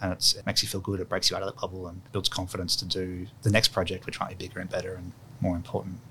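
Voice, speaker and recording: In an Australian accent, a man with a very deep, low pitch speaks very fast in a monotone, flat delivery, his loudness swinging widely. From Sydney, Australia, with childhood years in London. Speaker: architect. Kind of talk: interview. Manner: casual, hesitant with fillers.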